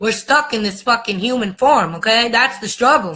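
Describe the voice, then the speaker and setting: Animated and lively in intonation, a woman with an American accent speaks in a high-pitched voice with a bright, sharp tone. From United States. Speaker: spiritual vlogger. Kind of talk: monologue rant. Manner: fast.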